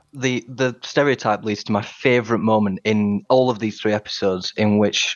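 A man with a Yorkshire accent speaks at a moderate pace, his pitch fairly low and his intonation fairly even. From Sheffield, northern England. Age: 20s. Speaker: podcast quiz contestant. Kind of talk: casual chat.

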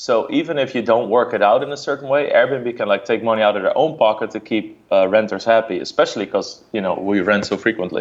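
A man with a Dutch accent speaks at a very fast pace. He hardly pauses at all. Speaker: poker streamer. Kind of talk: casual chat. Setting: video call.

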